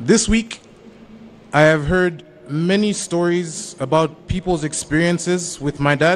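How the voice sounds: At a slow pace, a man talks with a fairly high pitch and ordinary pitch variation.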